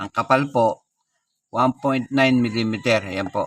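The very slow, fairly evenly intoned speech comes through in a very clean recording with a silent background and a dry, close sound with no echo. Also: man. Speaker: coin collector YouTuber. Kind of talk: show-and-tell tutorial.

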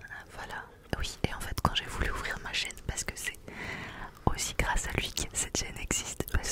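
A soft-spoken woman whispers at a moderate pace. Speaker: channel host. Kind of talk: casual ASMR-style chat. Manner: soft close-mic ASMR whisper. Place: home room. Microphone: studio mic.

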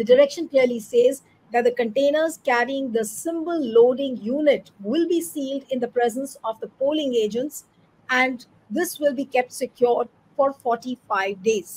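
The woman's voice sits at a high pitch with ordinary pitch variation. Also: moderate pace. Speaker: news show host. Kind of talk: news commentary introduction. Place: home room.

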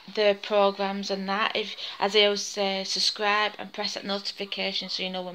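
A woman with monotone, flat intonation at a moderate pace, over light background noise. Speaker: home vlogger. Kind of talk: casual vlog chat. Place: kitchen. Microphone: phone near.

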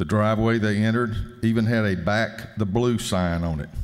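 Faint music plays behind a man with a fairly low pitch who speaks with fairly even intonation in a Southern US accent. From US South. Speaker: state legislator. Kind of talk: formal introduction speech. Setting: legislative chamber. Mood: solemn. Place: hall. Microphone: podium.

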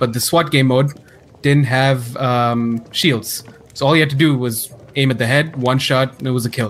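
Against noticeable background noise, a man talks at a moderate pace and medium pitch with fairly even intonation. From Middle East. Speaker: podcast co-host. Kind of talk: casual chat.

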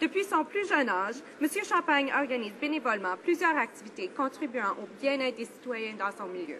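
A woman's high voice with very wide pitch swings at a moderate pace, over light background noise. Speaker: member of parliament. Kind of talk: parliamentary member's statement in the House of Commons. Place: hall. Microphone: podium.

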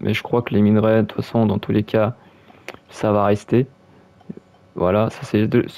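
Speaking at a moderate pace, a man uses monotone, flat intonation at a fairly low pitch. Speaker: gaming YouTuber. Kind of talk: gameplay commentary. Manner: halting.

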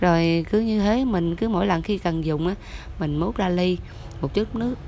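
The speech moves at a moderate pace over light background noise, with a dry sound and no echo. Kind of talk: tutorial. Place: kitchen. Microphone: phone near.

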